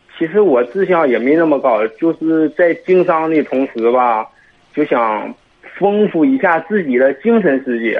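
This man talks at a fairly slow pace with a fairly high pitch, very wide pitch swings, and very even loudness. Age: 20s. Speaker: caller seeking advice. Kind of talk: radio call-in consultation.

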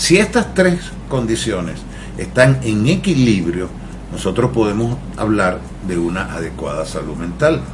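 The pitch swings very widely at a fairly slow pace. Noticeable background noise and audible room echo come through. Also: man, fairly low pitch for a man. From Venezuela. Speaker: mental health therapist. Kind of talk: radio interview.

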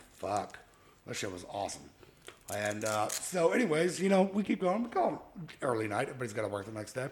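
Against noticeable background noise, a man at a medium pitch talks at a fairly quick pace with very wide pitch swings. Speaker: podcast host. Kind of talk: casual chat.

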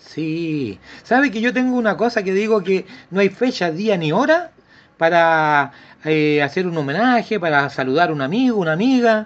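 Speaking with a Chilean accent, a man uses a high pitch, lively intonation and a moderate pace. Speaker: radio host. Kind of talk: casual chat; read-out ad. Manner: animated.

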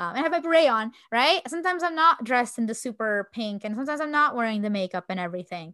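In a very clean recording with a silent background, a bright, sharp voice races at a very fast pace with very wide pitch swings and hardly any pauses. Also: woman, high pitch for a woman. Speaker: podcast co-host. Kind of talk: casual chat.

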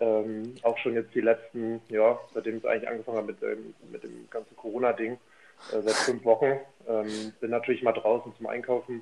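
A man at a medium pitch talks at a moderate pace with hardly any pauses and monotone, flat intonation. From northern Germany. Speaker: podcast guest. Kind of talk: casual chat. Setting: remote call from home office. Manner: halting, repeats words.

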